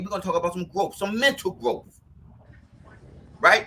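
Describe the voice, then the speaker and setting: A man speaks at a fairly quick pace in a high, raised and projected voice with a bright, sharp tone. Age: 50s. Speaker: podcast host. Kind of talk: casual chat. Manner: fast.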